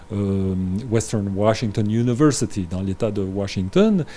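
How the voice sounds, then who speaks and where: A man speaks in a dark, mellow tone. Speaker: grandson of a historical diplomat, guest. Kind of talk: interview. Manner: halting, many fillers.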